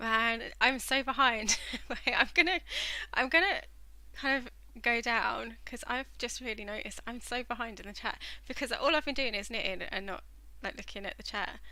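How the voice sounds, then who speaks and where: A high-pitched woman's voice with a southern English accent, bright and sharp in tone, with ordinary pitch variation. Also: moderate pace, big swings in loudness. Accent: southern English, stands out locally. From southern England. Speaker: knitting livestreamer. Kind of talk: casual chat while knitting on a live stream. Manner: hesitant, lots of fillers. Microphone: using headset microphone after tech issues.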